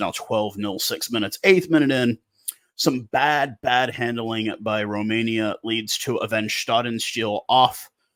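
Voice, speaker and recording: In a plain, everyday voice, a man speaks with an American accent. His pitch is medium and his pace fairly slow. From USA. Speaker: rugby commentator YouTuber. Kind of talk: casual commentary vlog.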